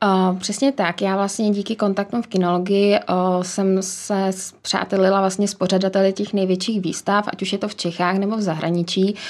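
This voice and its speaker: A woman talks at a moderate pace in a medium pitch with monotone, flat intonation, in a very clean recording with a silent background. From Czechia, village near Příbram. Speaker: business executive and dog breeder. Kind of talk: interview.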